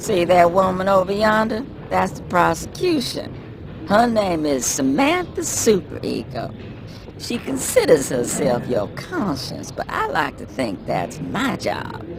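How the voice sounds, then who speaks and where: A man performs a cartoonish character voice at a fairly slow pace over clear background noise. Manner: brash, boastful, mocking.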